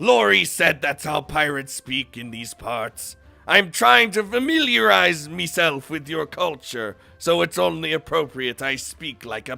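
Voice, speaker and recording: A man puts on a character voice with a fairly high pitch. He goes at a moderate pace while faint music plays in the background. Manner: playful, exaggerated.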